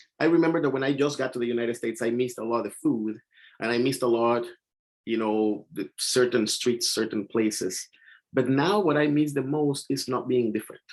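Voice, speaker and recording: With a Mexican accent, a man speaks at a fairly quick pace. His pitch sits in the medium range. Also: ordinary pitch variation. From Mexico. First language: Spanish. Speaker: poet. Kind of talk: panel discussion. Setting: video call.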